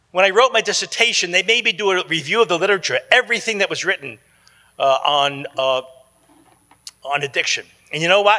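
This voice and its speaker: Raising and projecting his voice, a man with an American accent speaks at a fairly quick pace and a high pitch, with lively intonation. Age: 70s. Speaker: psychologist. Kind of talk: conference talk. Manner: casual, repetitive restarts.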